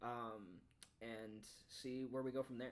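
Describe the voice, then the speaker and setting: Fairly even intonation runs through an ordinary speaking voice. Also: man. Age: 20s. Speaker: podcast host. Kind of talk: casual chat.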